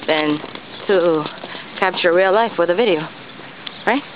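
A woman with an American accent, dry sound with no echo, and noticeable background noise. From New York City. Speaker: vlogger. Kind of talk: casual vlog. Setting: outdoors. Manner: halting. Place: street. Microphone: phone near.

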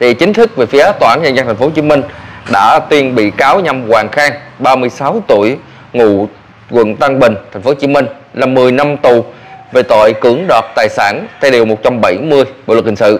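At a fairly slow pace, a man talks in a plain, everyday voice, medium in pitch with ordinary pitch variation. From Vietnam. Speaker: vlogger news commentator. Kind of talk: news commentary monologue. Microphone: lapel.

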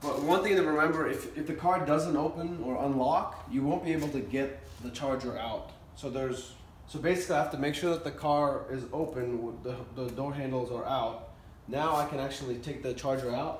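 Room echo is audible, along with light background noise. A man talks at a fairly quick pace with ordinary pitch variation. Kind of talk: tutorial. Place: garage. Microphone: camera far.

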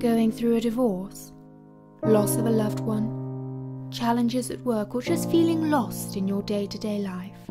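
A woman talks fairly slowly as music plays in the background. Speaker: voice actor. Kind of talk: TV commercial read.

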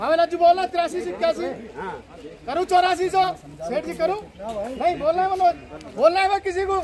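A man speaks at a moderate pace with an extremely high pitch and ordinary pitch variation. His long, frequent pauses sit over crowd noise in the background. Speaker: cotton auctioneer at a market yard. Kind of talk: rapid auction calling. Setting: noisy outdoor market yard with bidders. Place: market.

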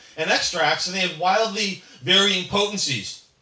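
Audible room echo surrounds the voice of a man as he speaks. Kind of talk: speech with anecdotes. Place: cafe.

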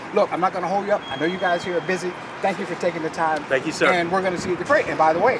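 A man talks at a very fast pace. The sound is dry with no echo, and background noise is noticeable. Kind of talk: interview host talk. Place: street.

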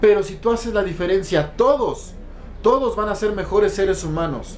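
A man with a high pitch at a moderate pace, over light background noise. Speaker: network marketing distributor and motivational speaker. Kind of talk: motivational monologue. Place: home room. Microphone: phone near.

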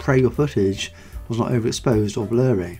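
With music in the background, a man speaks at a fairly quick pace. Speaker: channel host narrating. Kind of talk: documentary narration.

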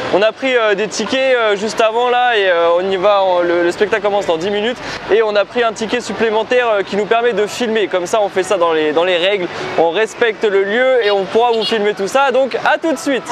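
Over noticeable background noise, a man with a high voice talks at a fairly quick pace with ordinary pitch variation, in a dry sound with no echo. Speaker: travel vlogger. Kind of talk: casual vlog chat. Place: street. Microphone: lapel.

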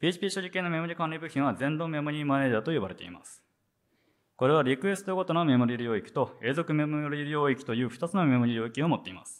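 Very fast speech from a man, fairly high-pitched for a man, with big swings in loudness. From Japan, Sendai (Miyagi); Miyagi, Japan. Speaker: software engineer, conference speaker; conference presenter. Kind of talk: conference talk; technical conference talk. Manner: hesitant, many fillers. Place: hall. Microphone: handheld.

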